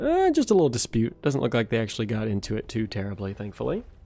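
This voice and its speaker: A man speaks with a dark, mellow tone. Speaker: gaming streamer. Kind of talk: live gameplay commentary. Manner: casual, with fillers.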